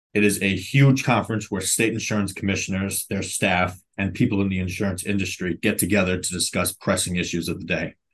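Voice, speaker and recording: A man with an American accent has a normal speaking voice. His pitch is fairly low and his intonation fairly even. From New York City (Brooklyn). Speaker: health insurance policy staffer. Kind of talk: podcast interview.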